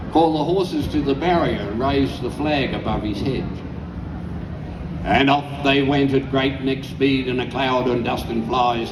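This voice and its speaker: With noticeable background noise behind him, a man with an Australian accent talks at a moderate pace. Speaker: bush poet. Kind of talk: poetry reading.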